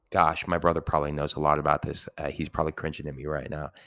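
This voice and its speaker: The background is silent in a very clean recording. A man does the talking. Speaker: Latin teacher, podcaster. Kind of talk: casual educational monologue. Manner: rambling, filler-heavy, casual.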